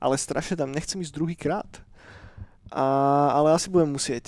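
With ordinary pitch variation, an ordinary speaking voice comes through in a very clean recording with a silent background. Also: man. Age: 30s. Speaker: podcast co-host. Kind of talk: casual chat. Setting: studio.

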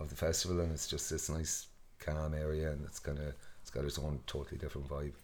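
Amid audible room echo, a man with a west of Ireland accent speaks very fast in a very deep, low voice with monotone, flat intonation. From Ireland, west coast (Mayo). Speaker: festival co-founder and farmer. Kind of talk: casual interview.

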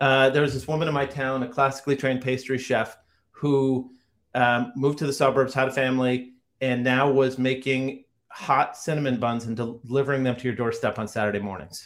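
A man's medium-pitched voice with an American accent, at a fairly quick pace, on a very clean recording with a silent background. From Rhode Island, US. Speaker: tech entrepreneur. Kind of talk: interview. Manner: animated.

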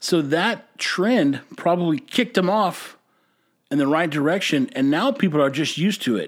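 A man speaks in an animated tone at a fairly high pitch. His voice makes very wide pitch swings. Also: very clean recording, silent background. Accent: Texan. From Texas. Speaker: podcast host and brewery owner. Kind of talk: casual monologue.

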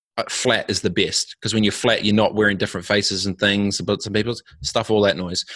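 In a New Zealand accent, a man speaks at a fairly low pitch over a quiet background. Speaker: entrepreneur and former pro snowboarder. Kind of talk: casual interview. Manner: halting, frequent repetitions and fillers.

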